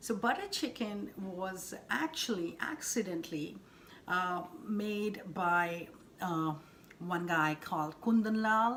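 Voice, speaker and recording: A woman with an Indian accent speaking at a very slow pace, with audible room echo. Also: medium pitch for a woman, ordinary pitch variation. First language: Hindi. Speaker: cooking channel host. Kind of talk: cooking tutorial. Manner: halting, many fillers.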